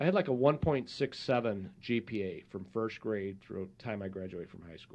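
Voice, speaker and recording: A man with an unremarkable speaking voice talks at a moderate pace and medium pitch, with hardly any pauses. His intonation is lively and his loudness swings widely. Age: 50s. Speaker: podcast host. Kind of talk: interview.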